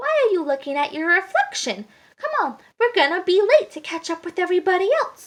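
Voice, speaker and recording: Using a squeaky put-on character voice, a woman speaks at an extremely high pitch and a fairly quick pace with very wide pitch swings. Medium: read story.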